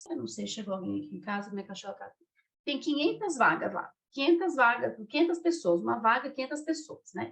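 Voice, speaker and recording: Very wide pitch swings run through the speech. The voice belongs to a woman. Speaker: career mentor for nurses. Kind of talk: online group mentoring talk. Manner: fast; animated.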